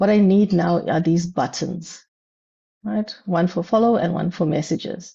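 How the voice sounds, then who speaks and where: A woman speaks at a medium pitch with a somewhat breathy quality. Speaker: business analyst speaker. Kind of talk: tutorial. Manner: hesitant, many fillers.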